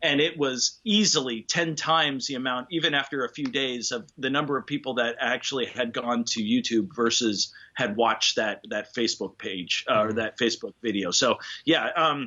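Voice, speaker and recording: Moderate pace with hardly any pauses, an ordinary speaking voice. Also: man, medium pitch for a man. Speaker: tuba player. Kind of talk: interview answer. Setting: video call.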